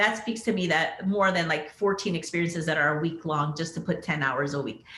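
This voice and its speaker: Audible room echo surrounds a woman with an American accent. She talks at a fairly quick pace and a fairly low pitch. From US Southwest border, southern Arizona. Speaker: pharmacist executive. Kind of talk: panel interview. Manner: conversational with many fillers.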